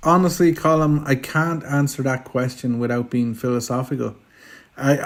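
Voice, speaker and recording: With a rural Irish accent, a man speaks at a medium pitch with fairly even intonation on a very clean recording with a silent background. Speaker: filmmaker. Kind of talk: interview. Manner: stammering repetitions.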